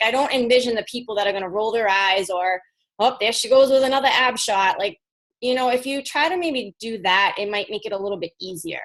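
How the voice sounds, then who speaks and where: A woman's fairly high voice at a fairly quick pace with lively intonation. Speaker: fitness coach. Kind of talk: team call presentation. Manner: fast; animated.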